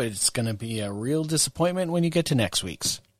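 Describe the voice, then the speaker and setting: A man with a plain, everyday voice speaks at a moderate pace with lively intonation, in a very clean recording with a silent background. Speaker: podcast host. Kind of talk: casual podcast chat.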